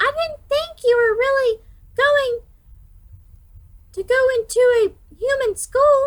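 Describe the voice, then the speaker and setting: A squeaky, extremely high-pitched put-on character voice from a woman, fairly slow, with long, frequent pauses. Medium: read story.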